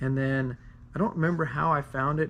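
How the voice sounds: The man's medium-pitched voice has a fairly bright tone and shows little pitch movement.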